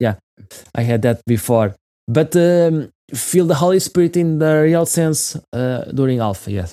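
This man speaks with a Portuguese accent, fairly high pitch and lively intonation at a fairly slow pace. The recording is very clean, with a silent background. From Portugal. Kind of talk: interview conversation. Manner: halting.

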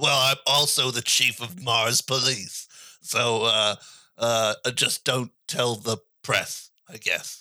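Using a raspy, put-on character voice of medium pitch, a man speaks very slowly with fairly even intonation and long, frequent pauses. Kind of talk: comic improv. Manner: casual, rambling.

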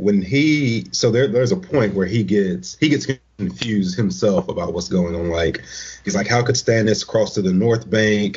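A man speaks at a moderate pace with a fairly low pitch. His voice is somewhat breathy, and his intonation is lively. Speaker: guest panelist. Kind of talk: casual discussion.

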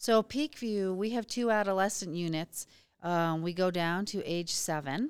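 A woman with an unremarkable speaking voice talks at a fairly slow pace and a medium pitch with ordinary pitch variation. The recording is very clean, with a silent background. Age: 50s. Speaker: therapist running a martial arts and mental health program. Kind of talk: interview. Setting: conference booth.

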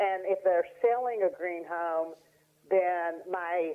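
A woman with an Appalachian accent speaks at a fairly slow pace, her medium pitch held in a monotone, flat intonation. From Appalachian Tennessee. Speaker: real estate broker. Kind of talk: casual interview. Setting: phone call.

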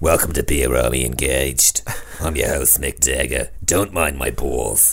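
In a put-on character voice, a man speaks at a moderate pace with a very deep, low pitch, gravelly and raspy, with ordinary pitch variation over light background noise. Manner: joking.

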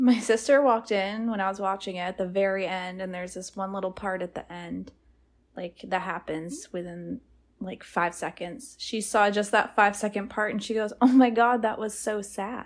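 A woman uses a plain, everyday voice with fairly even intonation at a moderate pace. The recording is very clean, with a silent background. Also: medium pitch for a woman. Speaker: movie podcast co-host. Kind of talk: casual chat.

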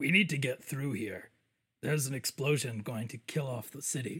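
A man uses a raspy, put-on character voice. His pitch is medium and his pace moderate. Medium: actual play. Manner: broken, simple speech.

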